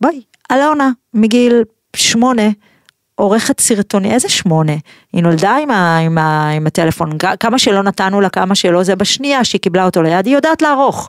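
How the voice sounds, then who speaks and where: A woman speaks at a fairly quick pace and medium pitch, her pitch swinging very widely while her loudness stays very even, in a dry, close recording with no echo that is very clean over a silent background. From Israel, Pardes Hanna. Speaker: podcast host. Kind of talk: interview. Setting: studio.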